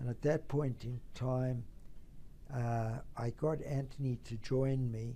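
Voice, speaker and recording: A man talks at a very slow pace in a South African accent. His medium-pitched voice has a dark, mellow tone. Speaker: tax lawyer and trust company founder. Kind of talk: company history talk. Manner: formal.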